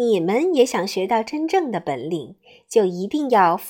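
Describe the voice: The recording consists of plain reading aloud.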